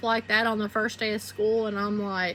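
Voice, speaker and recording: A woman speaks with a Southern US accent. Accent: Southern twang. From southeastern Arkansas (Phillips County). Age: 40s. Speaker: YouTuber. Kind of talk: personal testimony monologue. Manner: casual, conversational.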